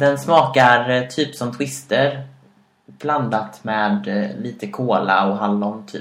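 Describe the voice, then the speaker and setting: The speaker is a man. His voice echoes audibly off the room. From Sweden, Karlstad. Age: 20s. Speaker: podcast co-host. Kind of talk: casual chat. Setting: home kitchen.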